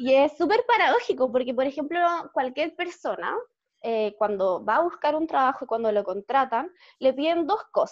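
A woman with a Chilean accent talks at a moderate pace, her high pitch swinging very widely. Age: 20s. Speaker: lawyer. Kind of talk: interview.

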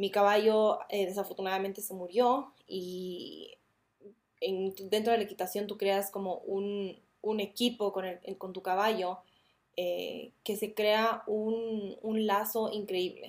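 The voice moves at a very slow pace with monotone, flat intonation. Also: woman, medium pitch for a woman. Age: 20s. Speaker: podcast host. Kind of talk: casual monologue.

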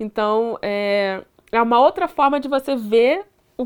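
Pitched high, a woman with a Carioca accent speaks with ordinary pitch variation. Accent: carioca Brazilian Portuguese. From Duque de Caxias, Rio de Janeiro. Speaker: computer science student and tech educator. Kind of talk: casual chat.

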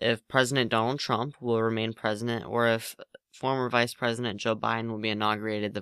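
With a quiet background behind it, a natural reading voice comes through.

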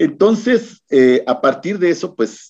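With very wide pitch swings, a man talks in a voice marked by vocal fry. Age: 50s. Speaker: activist and gender expert. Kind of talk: radio interview. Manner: halting.

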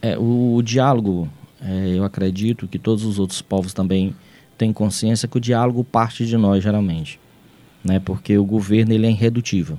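This man's voice has a dark, mellow tone, a fairly low pitch, and fairly even intonation. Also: moderate pace. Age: 40s. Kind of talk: radio interview. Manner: halting.

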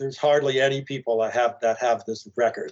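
A man with an American accent talks at a fairly quick pace in a fairly high pitch, using an ordinary speaking voice. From Arlington, Virginia, US. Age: 60s. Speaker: filmmaker and actor. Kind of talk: casual interview, storytelling.

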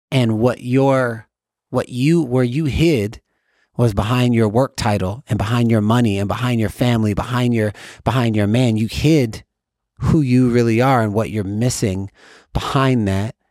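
On a very clean recording with a silent background, a man with a normal speaking voice talks at a moderate pace in a medium pitch with fairly even intonation. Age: 40s. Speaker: transformational speaker and author. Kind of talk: interview conversation.

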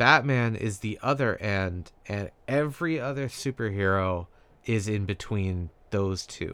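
A man talks in an ordinary speaking voice, fairly low in pitch, at a fairly slow pace with ordinary pitch variation. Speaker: podcast co-host. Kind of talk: casual chat. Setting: remote recording.

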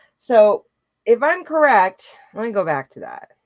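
With an animated tone and very wide pitch swings, a woman speaks at a fairly slow pace in a dry, close sound with no echo. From Louisiana, US South. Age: 30s. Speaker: YouTuber. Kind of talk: live reaction vlog. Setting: live stream.

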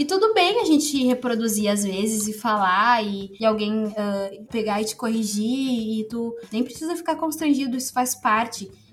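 Over noticeable background noise, the speech runs at a moderate pace with hardly any pauses and ordinary pitch variation. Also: woman, fairly high pitch for a woman. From Rio Grande do Sul, Novo Hamburgo. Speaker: pedagogy student and researcher. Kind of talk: casual interview.

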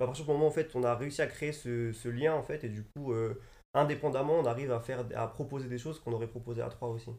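Talking at a very fast pace, a man uses a medium-pitched voice. His intonation stays fairly even. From Paris suburbs. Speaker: fashion designer. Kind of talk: casual chat. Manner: halting.

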